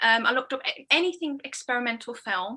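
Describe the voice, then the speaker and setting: A raised, projected woman's voice, high-pitched with a bright, sharp tone and ordinary pitch variation. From Birmingham, England. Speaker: experimental filmmaker. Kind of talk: casual interview.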